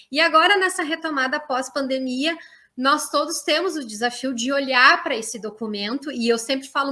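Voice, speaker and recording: Fairly quick speech from a woman, high in pitch, with ordinary pitch variation. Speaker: university professor and education researcher. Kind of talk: online lecture. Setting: online live stream. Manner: hesitant fillers, frequent 'né'.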